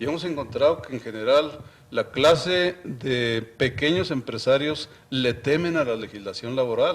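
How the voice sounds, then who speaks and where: This man's voice sits at a fairly high pitch, with ordinary pitch variation. Noticeable background noise is present. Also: fairly slow pace. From Mexico, Chihuahua. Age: 60s. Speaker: university official and economics commentator. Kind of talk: TV interview.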